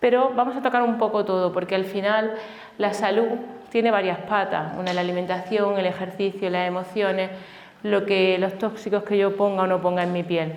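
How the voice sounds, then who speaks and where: Speaking at a fairly quick pace with an Andalusian accent, a woman uses a medium pitch and fairly even intonation, with audible room echo and noticeable background noise. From Andalusia, Granada. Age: 40s. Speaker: family doctor and health speaker. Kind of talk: conference talk. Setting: stage with live audience.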